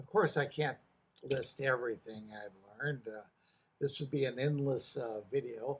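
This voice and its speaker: A man's medium-pitched, somewhat breathy voice at a moderate pace with ordinary pitch variation. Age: 80s+. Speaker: retired correctional officer. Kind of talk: casual talk to camera. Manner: hesitant, many filler words.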